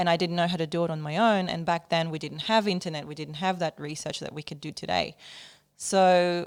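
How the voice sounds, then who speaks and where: Monotone, flat delivery from a woman at a fairly low pitch, on a very clean recording with a silent background. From Ukraine. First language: not English. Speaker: musician. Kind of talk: interview.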